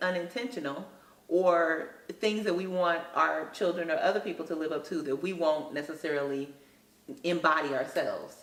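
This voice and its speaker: Amid audible room echo and noticeable background noise, a woman speaks at a moderate pace with a fairly low pitch and ordinary pitch variation. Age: 30s. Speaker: school counselor. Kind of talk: interview.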